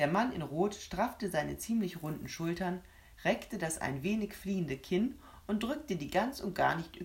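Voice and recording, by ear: A passage is read aloud. The delivery sounds natural.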